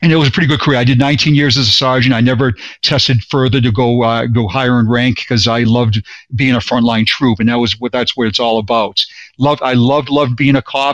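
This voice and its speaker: A man at medium pitch in a Boston accent, talking at a very fast pace. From Boston, Massachusetts. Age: 50s. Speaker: retired police sergeant. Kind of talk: interview, personal testimony. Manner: animated, repetitive.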